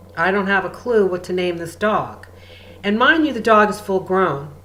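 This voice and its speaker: A moderate pace with audible room echo. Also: woman. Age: 60s. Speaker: spiritual healer and channel. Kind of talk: spiritual guidance talk.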